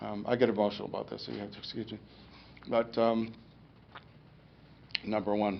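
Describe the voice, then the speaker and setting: The voice moves at a fairly quick pace but breaks into long, frequent pauses. It is monotone with vocal fry and big swings in loudness. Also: man, fairly low pitch for a man. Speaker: stroke survivor giving a talk. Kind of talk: public talk. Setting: lecture room with audience. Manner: halting speech after stroke.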